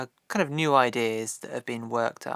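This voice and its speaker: Fairly quick and at a medium pitch, a man speaks with ordinary pitch variation in a very clean recording, silent in the background, with a dry, close sound and no echo. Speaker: indie filmmaker vlogger. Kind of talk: casual vlog talking to camera. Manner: fast; unscripted, hesitant with many ums.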